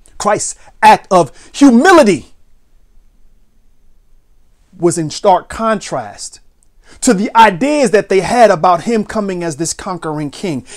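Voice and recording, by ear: A man's high-pitched voice at a slow pace, broken by long, frequent pauses. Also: lively intonation.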